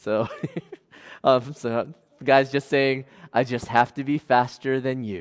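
This reading voice is unforced, with fairly even intonation.

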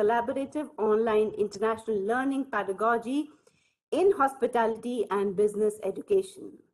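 Against a quiet background, a woman speaks at a moderate pace with a fairly high pitch. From India. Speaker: university lecturer, co-organiser. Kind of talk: formal speaker introduction. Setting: video call. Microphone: video call.

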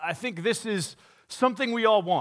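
A man's raised, projected voice, bright and sharp in tone, at a moderate pace against a quiet background. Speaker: pastor. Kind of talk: sermon. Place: church. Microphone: headset.

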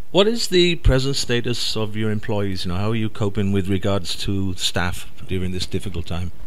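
A man with a Welsh accent speaks at a moderate pace with a fairly low pitch and ordinary pitch variation. Background noise is noticeable. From Wales. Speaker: radio host. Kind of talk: interview.

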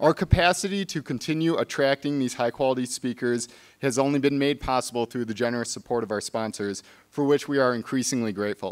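A man speaks at a very fast pace, pitch varying in an ordinary way, with a quiet background behind him. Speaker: museum staff host introducing speaker. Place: hall. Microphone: podium.

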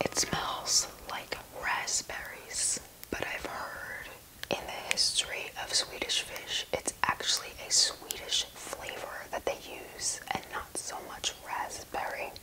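Someone is whispering at a very slow pace. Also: woman. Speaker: candy reviewer. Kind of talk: ASMR candy unboxing. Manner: whispered. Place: home room.

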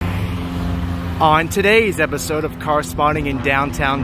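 Noticeable noise sits in the background, and the sound is dry with no echo. The pace is very slow. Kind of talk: casual vlog commentary. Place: street. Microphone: phone near.

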